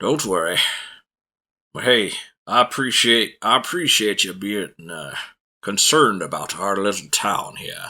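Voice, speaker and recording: A raspy put-on character voice from a man, medium in pitch, at a moderate pace with ordinary pitch variation, on a very clean recording with a silent background. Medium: actual play. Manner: placating.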